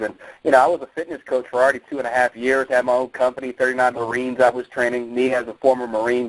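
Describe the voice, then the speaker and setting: A man's energetic, very fast, medium-pitched delivery with an American accent, in a dry, close sound with no echo. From New Jersey. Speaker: network marketing distributor and former Marine fitness coach. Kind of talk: motivational promo call.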